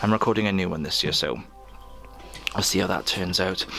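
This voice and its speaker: A man talks in a relaxed tone. Music plays in the background. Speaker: artist and musician. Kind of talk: casual talk to camera. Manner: relaxed, joking.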